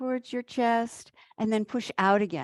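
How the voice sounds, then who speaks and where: At a fairly slow pace, a woman talks in a calm, soothing tone. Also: dry, close sound with no echo. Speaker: qi gong instructor. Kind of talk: guided exercise class.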